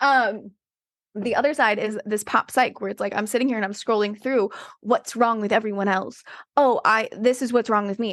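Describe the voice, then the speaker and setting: Against a quiet background, a woman speaks in an animated tone at a fairly high pitch. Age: 40s. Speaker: dating and relationship coach. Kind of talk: casual chat. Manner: fast.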